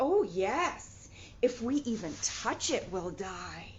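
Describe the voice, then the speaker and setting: A woman puts on a character voice, pitched fairly high and spoken at a very slow pace, with clear background noise. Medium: read story.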